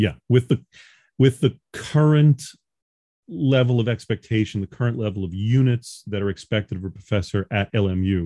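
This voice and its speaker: The speaker has a slight New York accent and a moderate pace. Pitch variation is ordinary. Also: man, fairly low pitch for a man. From New York, Long Island. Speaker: professor. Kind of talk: interview.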